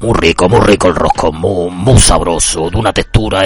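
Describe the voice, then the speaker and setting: A man talks at a moderate pace with music playing behind him. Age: 30s. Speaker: podcast host. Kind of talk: casual monologue.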